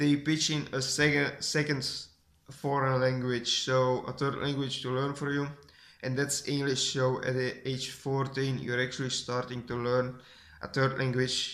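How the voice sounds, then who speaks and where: The speaker has a Flemish accent and a fairly slow pace. The intonation stays flat and monotone. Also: man, medium pitch for a man. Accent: Flemish Dutch accent in English. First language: Dutch (Flemish). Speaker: vlogger. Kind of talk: casual vlog talk. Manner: halting, many restarts.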